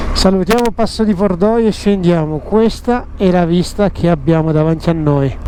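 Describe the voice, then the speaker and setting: Against noticeable background noise, a man speaks at a moderate pace with a high pitch. His loudness is very even, and his pitch varies in an ordinary way. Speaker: motorcycle travel vlogger. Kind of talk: travel vlog commentary. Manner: animated.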